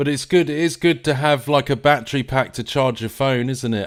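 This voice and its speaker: This man's pitch moves in a typical way as he talks. The audio is very clean, and the background is completely silent. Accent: southern English. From England. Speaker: live stream host. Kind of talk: live stream commentary. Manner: hesitant, many fillers and repeats; casual, conversational.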